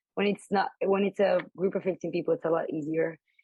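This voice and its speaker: A woman speaks at a medium pitch, somewhat breathy, with ordinary pitch variation. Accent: Spanish. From Colombia. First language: Spanish. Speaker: embroidery artist and graphic designer. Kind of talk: interview conversation. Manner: casual, with many fillers.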